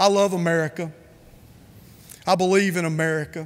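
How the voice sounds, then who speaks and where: With a North Carolina accent, a man talks in a high pitch at a moderate pace. His intonation stays fairly even. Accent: Southern US (North Carolina). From US South, Rutherford County, North Carolina. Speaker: conference speaker. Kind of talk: keynote speech.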